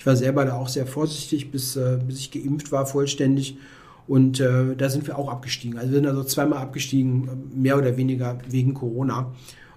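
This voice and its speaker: At a fairly quick pace, a man speaks in a monotone, flat intonation at a medium pitch, with audible room echo. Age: 40s. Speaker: chess author. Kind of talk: casual chat.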